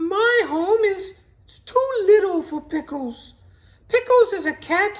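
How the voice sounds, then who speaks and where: This is a put-on character voice. It sounds female. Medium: read story.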